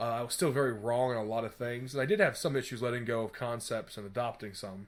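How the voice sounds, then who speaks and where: Very fast and fairly even in intonation, a man talks at a medium pitch. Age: 20s. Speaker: podcast host. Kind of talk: casual chat.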